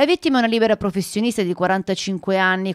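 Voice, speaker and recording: At a fairly quick pace, a woman of medium pitch talks in an ordinary speaking voice, the sound dry and close with no echo. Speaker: local news reporter. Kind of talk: news reading. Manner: formal, even and measured, in the flat, impersonal tone of a broadcast crime report.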